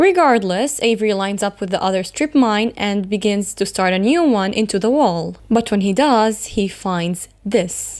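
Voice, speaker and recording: On a very clean recording with a silent background, a woman with a normal speaking voice talks at a moderate pace and a medium pitch, with ordinary pitch variation and hardly any pauses. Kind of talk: horror story narration.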